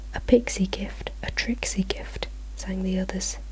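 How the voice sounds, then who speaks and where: A fairly slow pace over noticeable background noise. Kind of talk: storybook reading. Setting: home, some traffic noise. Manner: soft-spoken, quiet.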